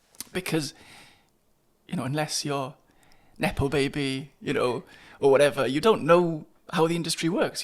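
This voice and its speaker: Speaking at a moderate pace in a Welsh accent, a man shows ordinary pitch variation. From Wales, Carmarthen. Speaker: playwright. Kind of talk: interview conversation. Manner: halting.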